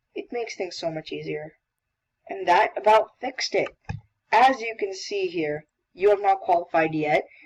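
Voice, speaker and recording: At a moderate pace, a woman of medium pitch speaks with ordinary pitch variation, big swings in loudness, and long, frequent pauses. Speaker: coding tutorial maker. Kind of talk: tutorial. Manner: casual, self-correcting.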